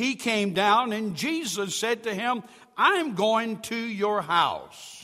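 A raised, projected voice moves at a very slow pace with ordinary pitch variation. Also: man, high pitch for a man. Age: 70s. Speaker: pastor. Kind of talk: sermon. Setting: church.

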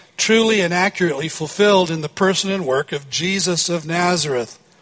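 A man with a high voice talks at a moderate pace while noticeable background noise continues. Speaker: pastor. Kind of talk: sermon.

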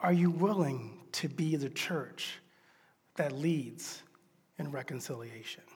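A man's fairly high, somewhat breathy voice at a very slow pace, with ordinary pitch variation, long, frequent pauses and audible room echo. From US South. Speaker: pastor. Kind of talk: sermon.

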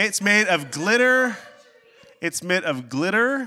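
A man's high, bright, sharp voice at a slow pace, with big pitch swings.

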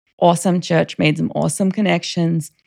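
Talking at a fairly quick pace, a woman with an Australian accent uses a fairly low pitch. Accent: Australian, still noticeable. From Australia, Queensland (Rockhampton). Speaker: church member sharing her faith story. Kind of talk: casual interview, personal testimony.

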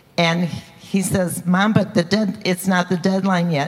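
Over noticeable background noise, a woman speaks at medium pitch with monotone, flat intonation. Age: 70s. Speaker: seminary student. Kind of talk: testimony. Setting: church.

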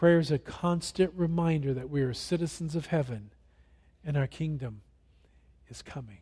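A man with a dark, mellow tone and a fairly high pitch, somewhat breathy at a moderate pace. His loudness swings widely, his pitch varies in an ordinary way, and he takes long, frequent pauses. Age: 60s. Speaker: pastor. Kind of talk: sermon. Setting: church.

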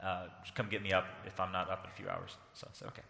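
Noticeable background noise runs under the recording. A man with a fairly low voice talks in a Southern US accent. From US South. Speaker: pastor. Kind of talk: sermon. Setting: church.

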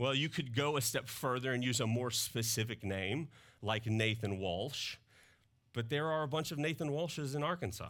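On a very clean recording with a silent background, a man with a slight Southern US accent talks at a moderate pace and medium pitch with ordinary pitch variation. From Mississippi, US South. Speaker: pastor. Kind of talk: sermon. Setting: church. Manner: casual, conversational.

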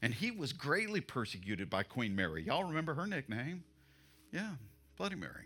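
A man with a fairly high pitch and a bright, sharp tone speaks fairly quickly, his pitch swinging very widely with some vocal fry. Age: 60s. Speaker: pastor. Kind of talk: sermon. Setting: church.

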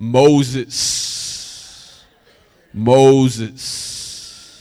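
A man at a medium pitch performs a put-on character voice. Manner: booming, authoritative.

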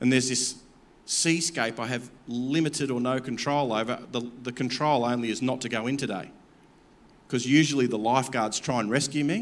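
Fairly even intonation at a fairly quick pace, with an Australian accent and audible room echo. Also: man, medium pitch for a man. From Campbelltown, Australia. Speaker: pastor. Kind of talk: sermon.

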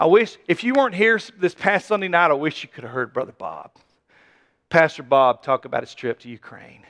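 At a fairly quick pace, a man with a high voice makes very wide pitch swings and big swings in loudness, recorded dry and close without echo. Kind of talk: sermon. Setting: church. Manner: animated; emphatic, conversational preaching.

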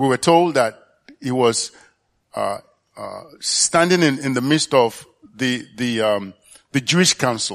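A man with a medium pitch speaks at a fairly slow pace with lively intonation. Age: 60s. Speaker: church elder. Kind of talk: sermon. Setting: church. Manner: halting.

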